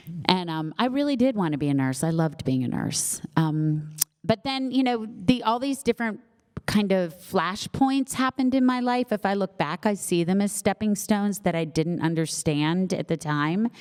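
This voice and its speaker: Over noticeable background noise, a woman speaks at a medium pitch and a moderate pace, with very wide pitch swings and a dry, close sound with no echo. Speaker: novelist. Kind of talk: Q&A at book launch. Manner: animated.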